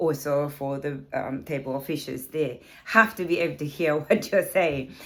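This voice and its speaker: This woman's very deep, low voice keeps a fairly even intonation. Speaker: karate instructor. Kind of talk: tutorial. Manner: hesitant, many fillers.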